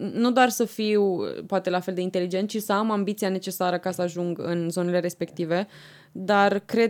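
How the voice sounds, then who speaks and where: A woman's fairly low voice. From Romania, Argeș county. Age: 20s. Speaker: president of a student organization. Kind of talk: podcast interview.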